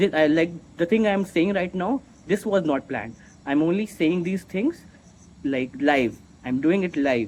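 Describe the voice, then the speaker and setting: With a non-native accent, the speaker uses lively intonation at a fairly slow pace, broken by long, frequent pauses. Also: man, high pitch for a man. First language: not English. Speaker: vlogger. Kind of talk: unscripted monologue. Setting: recording to camera. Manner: halting, self-correcting; slow, deliberate.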